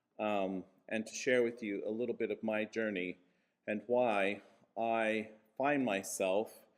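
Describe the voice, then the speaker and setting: A man at a fairly slow pace, with long, frequent pauses and a flat, monotone delivery. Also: medium pitch for a man. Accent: American. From US Midwest, Kansas. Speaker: church leader and minister. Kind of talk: conference speech.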